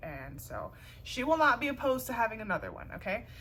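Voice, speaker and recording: Amid audible room echo, a woman speaks at a moderate pace in an animated, bright, sharp tone, with vocal fry and very wide pitch swings. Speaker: YouTuber, craft tutorial creator. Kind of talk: tutorial. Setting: at home, on living room floor.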